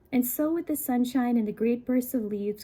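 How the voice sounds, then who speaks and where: A woman's fairly high voice, dark and mellow in tone, at a fairly quick pace with ordinary pitch variation. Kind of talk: book reading, soft-spoken ASMR. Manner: soft-spoken, conversational, relaxing.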